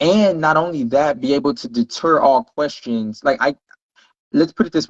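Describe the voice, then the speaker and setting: In a normal speaking voice with an American accent, a man talks at a fairly quick pace with ordinary pitch variation, the sound dry and close with no echo. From Texas, Houston. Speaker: podcast guest. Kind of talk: casual chat.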